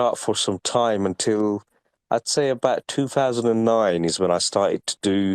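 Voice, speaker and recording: A man talks at a medium pitch, his intonation fairly even. The recording is very clean and the background silent. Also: dry, close sound with no echo. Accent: English. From UK. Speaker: NFT collector and artist. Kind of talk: interview.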